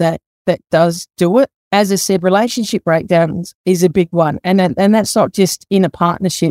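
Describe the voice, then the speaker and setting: In an Australian accent, a woman talks at a moderate pace and medium pitch with ordinary pitch variation. Her tone is dark and mellow, and the sound is dry and close with no echo. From South Australia, Adelaide. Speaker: master plumber and mental health field officer. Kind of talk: casual interview.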